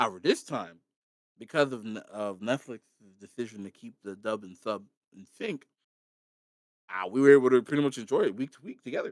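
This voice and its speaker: A man's medium-pitched voice at a fairly quick pace, with big swings in loudness and long, frequent pauses. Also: ordinary pitch variation, dry, close sound with no echo. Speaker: podcast co-host. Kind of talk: casual chat. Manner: animated.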